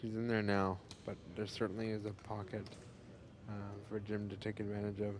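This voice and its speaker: A fairly low-pitched male voice, fairly quick yet broken by long, frequent pauses, in a monotone, flat intonation. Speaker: sports commentator. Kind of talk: live commentary. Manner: quiet.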